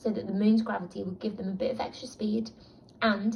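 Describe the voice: Plain reading aloud, intonation fairly even.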